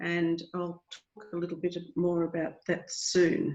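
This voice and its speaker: A woman with an Australian accent, speaking at a very slow pace. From Australia, rural Victoria. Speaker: library association president. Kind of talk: webinar presentation. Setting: video call.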